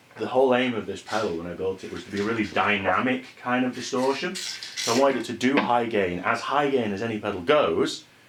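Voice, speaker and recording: Against noticeable background noise, a man speaks at a fairly quick pace with hardly any pauses. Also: medium pitch for a man, ordinary pitch variation. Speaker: guitar pedal builder. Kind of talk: casual product demo to camera.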